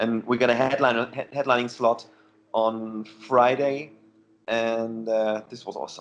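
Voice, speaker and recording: At a fairly slow pace, a man of medium pitch speaks in a flat monotone, his loudness swinging widely. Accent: German. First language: German. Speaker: heavy metal musician. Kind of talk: casual interview. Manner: halting.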